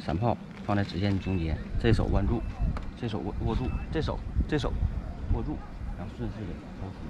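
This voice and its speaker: There is loud background noise. Over it, a man speaks at a fairly quick pace. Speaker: fishing vlogger. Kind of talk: casual vlog chat. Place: waterside. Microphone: camera far.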